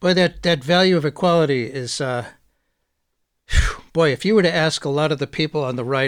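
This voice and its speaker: A man with an unremarkable speaking voice, fairly high pitch and moderate pace, in a dry, close sound with no echo. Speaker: radio host. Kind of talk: interview.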